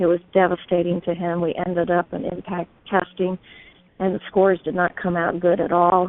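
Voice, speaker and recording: A woman speaks with a fairly low pitch. Her pace is fairly quick. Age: 60s. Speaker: testimonial speaker. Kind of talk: testimony.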